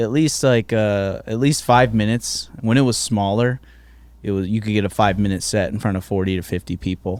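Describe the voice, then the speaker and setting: Talking at a fairly quick pace, a man with an American accent has an ordinary speaking voice, fairly low in pitch with ordinary pitch variation. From Virginia, Hampton Roads. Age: 30s. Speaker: stand-up comedian. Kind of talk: casual chat. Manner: casual, profane.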